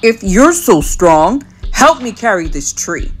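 A woman's put-on character voice, fairly slow, with very wide pitch swings. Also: fairly high pitch for a woman.

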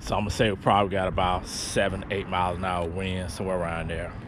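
A man at a fairly quick pace, dry with no echo, with noticeable background noise. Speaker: RC hobby vlogger. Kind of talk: casual vlog chat. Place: open country. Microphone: phone near.

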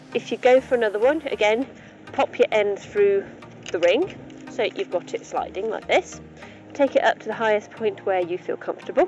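A woman speaks at a moderate pace. The sound is dry with no echo, and clear music plays in the background. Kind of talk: tutorial. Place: open country. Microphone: phone near.

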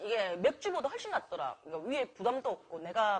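Speaking at a very fast pace with a Busan accent, a woman uses a fairly high pitch, very wide pitch swings and an animated tone. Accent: Gyeongsang (Busan) dialect. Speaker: mukbang streamer. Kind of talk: casual live-stream chat while eating. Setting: restaurant.

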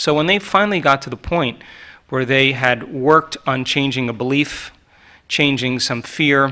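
Against a quiet background, a man with a fairly high pitch speaks at a moderate pace with ordinary pitch variation. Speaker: doctor, panel speaker. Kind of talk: panel discussion answer. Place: hall. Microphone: podium.

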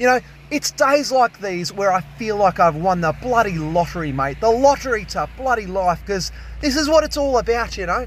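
The dry, echo-free recording has a man speaking at a moderate pace. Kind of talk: casual vlog commentary. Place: garden. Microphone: phone near.

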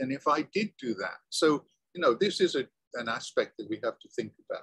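The recording is dry with no echo and a quiet background. A man speaks with a British accent. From Britain. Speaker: college lecturer. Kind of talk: lecture. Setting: classroom. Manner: halting. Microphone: video call.

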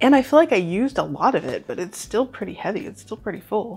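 Over faint music in the background, a woman talks at a very fast pace. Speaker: home cook reviewer. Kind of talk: casual vlog chat. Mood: cheerful and enthusiastic. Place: home room. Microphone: lapel.

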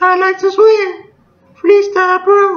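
Squeaky and extremely high, a put-on character voice speaks at a fairly slow pace in a flat monotone.

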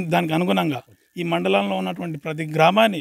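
A man with a fairly high voice swings his pitch very widely, recorded dry and close with no echo. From Telangana, Mahabubnagar district. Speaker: villager. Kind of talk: interview.

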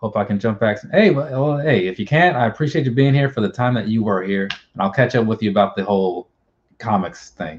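The speaker has an American accent and a somewhat breathy voice, moving at a fairly quick pace with lively intonation over light background noise. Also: man. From US Midwest. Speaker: YouTuber. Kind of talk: casual chat. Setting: video call. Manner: rambling. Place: home room.

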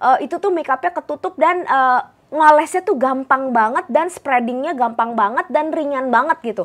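Against a quiet background, a woman talks at a fairly quick pace in a high pitch with lively intonation. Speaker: beauty vlogger. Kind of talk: product review. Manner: casual, filler-heavy. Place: home room. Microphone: new microphone, sounds tinny; lapel.

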